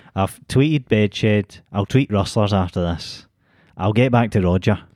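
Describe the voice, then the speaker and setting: With a Glasgow accent, a man speaks fairly slowly at a fairly low pitch with ordinary pitch variation, in a very clean, silent-background recording with a dry, close sound and no echo. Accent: Scottish (Glasgow). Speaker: podcast co-host. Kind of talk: casual chat.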